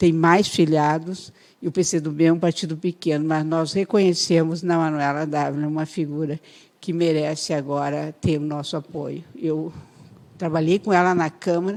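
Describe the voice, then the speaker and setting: A woman's very deep, low voice, monotone and flat, at a moderate pace on a very clean recording with a silent background. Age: 60s. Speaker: politician. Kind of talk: radio interview.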